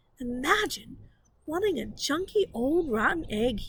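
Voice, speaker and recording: Using a put-on character voice, a woman speaks at a high pitch. Her pace is moderate. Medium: read story.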